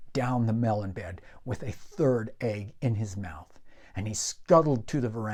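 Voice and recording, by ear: Natural-voiced reading aloud, pitch varying in an ordinary way.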